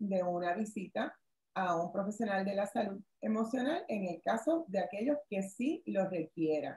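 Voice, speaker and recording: In a room with audible echo and a quiet background, a woman speaks at a fairly slow pace in a dark, mellow, somewhat breathy tone. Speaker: workshop presenter, lawyer. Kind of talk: online workshop presentation. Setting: video call. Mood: calm, advisory. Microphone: webcam.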